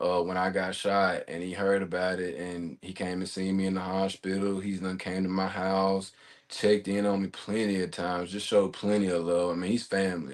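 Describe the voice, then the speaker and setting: Someone in a Mississippi accent talks at a fairly quick pace with monotone, flat intonation over a quiet background. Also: man, very deep, low pitch for a man. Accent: Mississippi accent, noticeable. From Mississippi (Jackson). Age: 20s. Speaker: gunshot survivor, podcast guest. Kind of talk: testimony interview.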